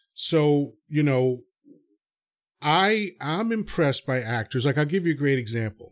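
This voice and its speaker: A man's fairly high voice, fairly slow in pace, with lively intonation. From New York. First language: Spanish. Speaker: podcast host. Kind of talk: casual interview chat.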